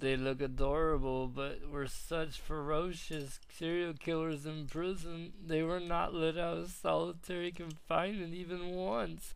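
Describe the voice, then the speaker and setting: A put-on character voice from a man, raspy and fairly high-pitched, at a moderate pace. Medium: dub.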